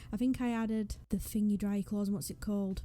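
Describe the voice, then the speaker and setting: Talking at a very fast pace in a northwest English accent, the speaker has a dark, mellow tone and fairly even intonation. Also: woman. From northwest England. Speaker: gaming YouTuber. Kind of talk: casual vlog commentary. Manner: casual, hesitant.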